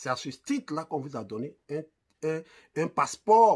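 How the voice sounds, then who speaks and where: A man's fairly high voice with very wide swings in pitch. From Côte d'Ivoire, Abidjan. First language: Ivorian ethnic language (speaking French). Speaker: online commentator. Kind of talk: video commentary. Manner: animated.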